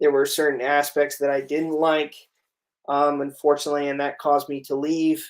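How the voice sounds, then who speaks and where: At a moderate pace, a man talks in a fairly high pitch with a monotone, flat intonation. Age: 30s. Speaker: livestream interview host, former teacher. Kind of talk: casual interview livestream. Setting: livestream. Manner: hesitant, many fillers.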